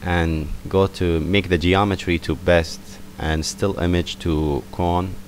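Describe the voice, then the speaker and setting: A man speaks very slowly in a very deep, low pitch with monotone, flat intonation. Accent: non-native. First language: not English. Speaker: software tutorial maker. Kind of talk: tutorial. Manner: casual, hesitant with fillers.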